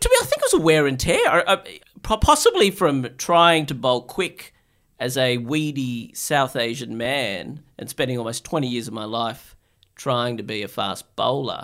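Lively in intonation, a man with an Australian accent and medium pitch talks at a moderate pace in a very clean recording with a silent background. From Australia (Sydney), born in Bangladesh. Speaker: psychiatrist. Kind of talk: casual interview.

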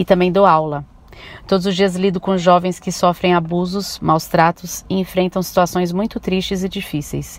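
At a moderate pace, a woman talks in a fairly low pitch with a monotone, flat intonation. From São Paulo, Brazil. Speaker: teacher. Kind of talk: testimony.

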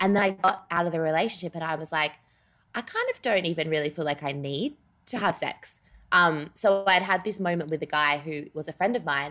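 With an Australian accent, a woman speaks at a fairly quick pace in a bright, sharp tone. Her pitch is fairly low, with ordinary variation. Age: 20s. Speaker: writer. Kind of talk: casual chat. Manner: halting, many fillers.

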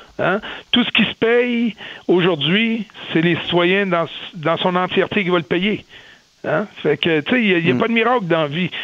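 Over noticeable background noise, a man with a high pitch speaks at a fairly slow pace with very even loudness and long, frequent pauses. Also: ordinary pitch variation. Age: 50s. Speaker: business executive. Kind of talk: radio interview.

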